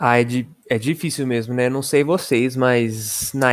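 Recorded dry and close with no echo, a man talks at a medium pitch with fairly even intonation. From São Paulo state interior, Brazil. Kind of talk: casual chat.

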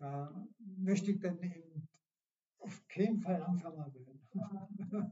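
Speaking at a very slow pace, a man talks in a high pitch. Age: 70s. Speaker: retired amateur runner. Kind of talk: casual interview. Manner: halting.

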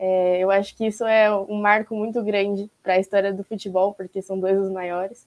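A woman's flat, monotone delivery at a moderate pace, dry and close with no echo. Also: medium pitch for a woman, hardly any pauses. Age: 20s. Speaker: panelist. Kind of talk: interview questions.

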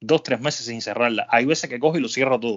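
Speaking in a plain, everyday voice, a man keeps to a medium pitch and uses ordinary pitch variation. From Cuba. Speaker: podcast host. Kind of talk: casual chat.

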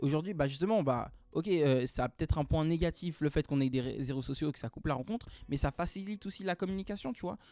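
Speaking very fast at a fairly high pitch, a man with a dark, mellow tone shows ordinary pitch variation in a dry, close sound with no echo. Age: 20s. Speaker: professional dancer. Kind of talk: casual interview. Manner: hesitant, many fillers.

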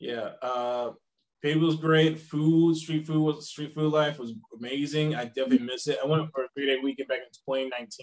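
Fairly high-pitched for a man, this ordinary speaking voice moves at a moderate pace with fairly even intonation. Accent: American. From US South, South Carolina. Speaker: travel writer and teacher. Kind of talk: interview.

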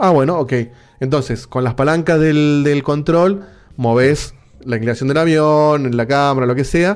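In a Rioplatense accent, a man speaks at a fairly slow pace in a fairly high pitch, with ordinary pitch variation and very even loudness. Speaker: podcast host. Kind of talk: casual chat. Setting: video call.

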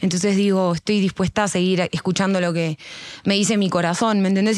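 Fairly quick and monotone, a woman speaks with flat intonation at medium pitch. She has a Rioplatense accent. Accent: Argentine Spanish (rioplatense). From Argentina. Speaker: singer and rapper. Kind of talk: casual chat. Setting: at home.

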